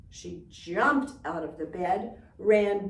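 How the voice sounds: Lively intonation colors a natural reading voice.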